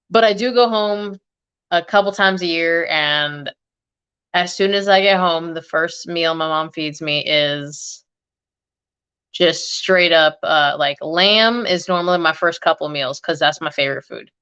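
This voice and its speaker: In a quiet background, a woman with a fairly low pitch and a bright, sharp tone talks at a fairly slow pace with ordinary pitch variation. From US, Egyptian family. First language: Arabic (Egyptian dialect). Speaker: fragrance YouTuber. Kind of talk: casual chat. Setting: livestream.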